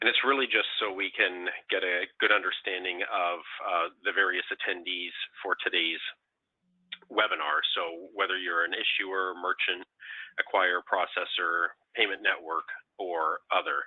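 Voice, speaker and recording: A man at a moderate pace with a Canadian accent. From Canada. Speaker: payments industry council chair, webinar presenter. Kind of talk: webinar presentation. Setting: online webinar. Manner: hesitant, many fillers.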